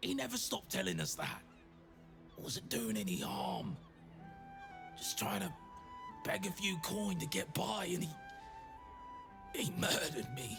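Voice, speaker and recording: Over clear background music, a man performs a put-on character voice at medium pitch and a moderate pace. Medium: video game. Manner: stammering, fearful.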